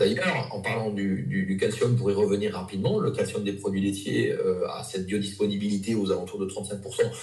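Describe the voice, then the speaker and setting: Here a man speaks amid noticeable background noise. Audible room echo is present too. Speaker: nutrition practitioner. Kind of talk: interview. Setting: live video interview. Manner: hesitant, many fillers.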